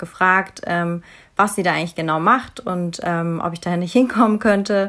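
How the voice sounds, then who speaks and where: An ordinary speaking voice, this woman's sits at a fairly low pitch, moving at a moderate pace with fairly even intonation. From Bavaria, Munich. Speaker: psychology graduate, volunteer. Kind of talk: casual interview.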